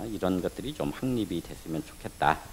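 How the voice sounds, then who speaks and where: This is a man speaking. His pace is moderate. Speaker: professor, panel presenter. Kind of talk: conference presentation. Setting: stage with audience. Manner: halting. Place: meeting room. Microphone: podium.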